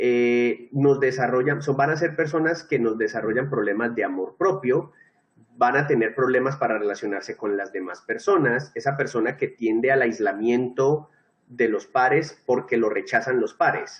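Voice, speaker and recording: A man talks at a moderate pace in a medium pitch with ordinary pitch variation, an unremarkable speaking voice. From Colombia. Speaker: teacher. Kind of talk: lecture.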